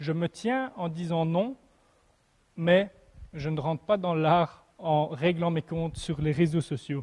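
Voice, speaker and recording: A man with a high voice and a slight Belgian accent speaks at a very slow pace with long, frequent pauses. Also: ordinary pitch variation. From Belgium. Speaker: preacher. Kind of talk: sermon. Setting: church, livestreamed without audience. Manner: halting, with repetitions and fillers.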